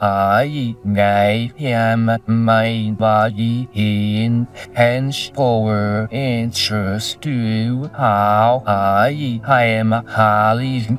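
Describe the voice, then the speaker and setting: A put-on character voice at a very slow pace over clear music in the background. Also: man, medium pitch for a man. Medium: comedy sketch. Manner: halting, garbled phrasing.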